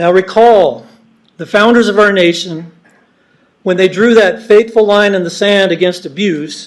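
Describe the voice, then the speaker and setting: A man speaks loudly at a moderate pace. His voice is high-pitched, with fairly even intonation. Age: old. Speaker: member of the public giving comment. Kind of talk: public comment at a meeting. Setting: public meeting hall. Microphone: not using the microphone, it is broken.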